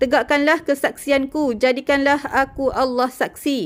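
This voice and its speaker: Her pitch is high for a woman. She speaks at a fairly slow pace with fairly even intonation. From Malaysia. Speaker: religious messenger. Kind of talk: reading aloud. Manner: solemn.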